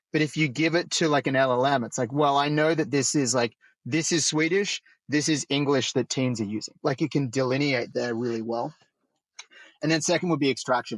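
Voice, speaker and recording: In an Australian accent, a man talks at a fairly quick pace with a fairly high pitch and ordinary pitch variation, with a dry, close sound with no echo and a quiet background. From rural Australia. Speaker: roundtable facilitator, AI founder. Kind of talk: roundtable discussion.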